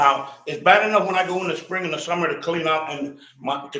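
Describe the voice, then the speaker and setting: With a New York accent, a man talks at a fairly quick pace amid audible room echo. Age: 60s. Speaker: resident speaking at public comment. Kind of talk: public comment complaint. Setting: council meeting. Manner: animated.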